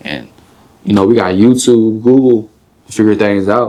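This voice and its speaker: Talking at a moderate pace, a man uses an ordinary speaking voice with a fairly low pitch. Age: 20s. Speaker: rapper. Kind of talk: interview. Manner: casual, filler-heavy.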